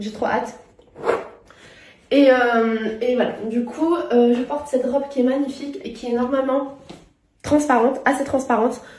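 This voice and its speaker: At a moderate pace, a woman speaks with a high pitch and long, frequent pauses. Audible room echo surrounds her voice. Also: fairly even intonation. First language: not French (speaking French). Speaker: lifestyle vlogger. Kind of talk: casual vlog talk to camera. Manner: halting, many hesitations.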